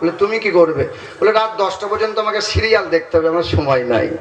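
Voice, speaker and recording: A man with a high-pitched voice speaks in an animated tone over noticeable background noise. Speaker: Islamic preacher giving a waz sermon. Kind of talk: Bengali waz sermon to a live gathering, humorous and interactive. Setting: live religious gathering, audience addressed directly. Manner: animated, jokey, crowd-working.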